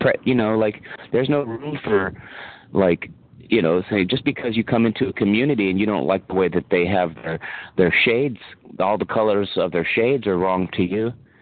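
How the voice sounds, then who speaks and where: In a normal speaking voice, a man talks at a fairly quick pace with a fairly low pitch and ordinary pitch variation. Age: 40s. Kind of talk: casual chat. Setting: phone call.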